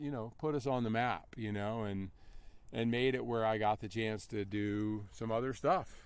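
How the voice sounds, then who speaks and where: With an American accent, a man talks at a medium pitch and a moderate pace in an unremarkable speaking voice. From North Carolina. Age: 50s. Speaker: endurance athlete. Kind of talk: interview. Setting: outdoor race event. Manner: casual, conversational.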